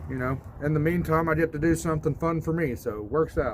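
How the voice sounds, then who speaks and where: Fairly high male speech in a Southern US accent. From US South. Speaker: DIY video host. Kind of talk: casual vlog talk. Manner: casual, halting with repetitions.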